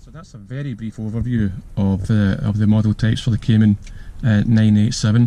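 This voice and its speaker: A man with a strong Glasgow accent talks at a fairly quick pace. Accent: thick Glasgow. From Scotland, Glasgow. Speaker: car reviewer, YouTuber. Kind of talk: casual video review while driving. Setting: in a car. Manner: hesitant, many fillers.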